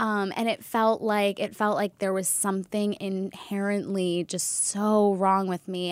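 A woman of medium pitch speaks with a plain, everyday voice at a fairly slow pace in a very clean recording with a silent background. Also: dry, close sound with no echo. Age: 30s. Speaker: wellness entrepreneur. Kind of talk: casual chat.

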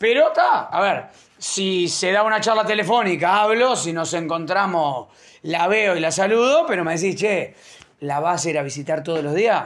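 A man with a high pitch speaks at a moderate pace. His pitch varies in an ordinary way, with noticeable background noise. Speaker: podcast host. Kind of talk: casual chat.

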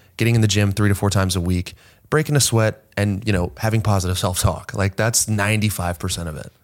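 In a very clean recording with a silent background, a man with an ordinary speaking voice talks fairly quickly at a fairly low pitch, with ordinary pitch variation. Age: 20s. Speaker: fitness coach. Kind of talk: casual chat. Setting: in-person studio.

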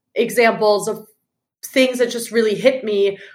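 A woman's fairly high voice moves at moderate speed, with pitch that varies in a normal way. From Germany. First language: German. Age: 30s. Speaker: founder of a book review project. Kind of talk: casual interview chat. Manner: animated.

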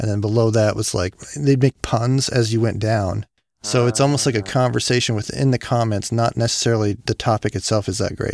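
A man speaks at a fairly quick pace in a normal speaking voice, medium in pitch with fairly even intonation. The recording is very clean and silent behind him, with a dry, close sound and no echo. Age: 40s. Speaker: comedy podcast host. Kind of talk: casual chat.

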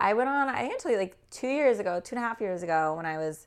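On a very clean recording with a silent background, a woman with a Californian accent talks fairly quickly with lively intonation. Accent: Californian American. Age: 20s. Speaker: marketing strategist. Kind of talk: casual chat.

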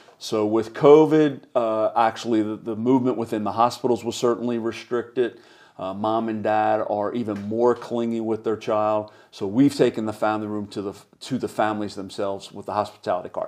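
Fairly quick, fairly even speech from a man with a Philadelphia accent at medium pitch. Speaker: charity executive. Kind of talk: casual interview.

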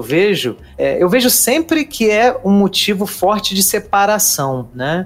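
A man's high-pitched voice with very wide pitch swings over noticeable background noise. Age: 40s. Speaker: podcast host. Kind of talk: casual chat.

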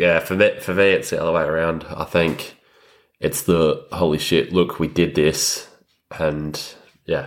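Speaking in an Australian accent, a man with a very deep, low pitch keeps a fairly slow pace and fairly even intonation. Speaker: podcast co-host, fly-in fly-out worker. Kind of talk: casual chat.

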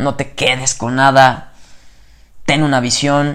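A man with a Mexican accent, fairly high-pitched, in monotone, flat intonation. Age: 20s. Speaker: podcaster. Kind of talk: motivational monologue. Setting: at home at night before bed. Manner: casual, slangy and spontaneous.

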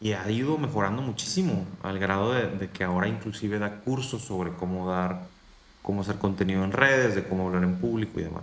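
A man speaks at a fairly quick pace with a fairly low pitch. Audible room echo surrounds his voice. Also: ordinary pitch variation. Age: 30s. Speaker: motivational speaker and coach. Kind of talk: interview conversation.

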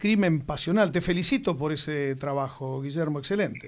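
A man speaks with ordinary pitch variation. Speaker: radio host. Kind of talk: interview.

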